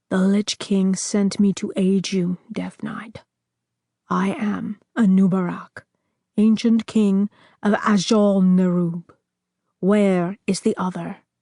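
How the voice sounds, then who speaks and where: A woman uses a put-on character voice at medium pitch, with monotone, flat intonation and a fairly slow pace broken by long, frequent pauses. The sound carries hissing and rumbling. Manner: hissing, rumbling.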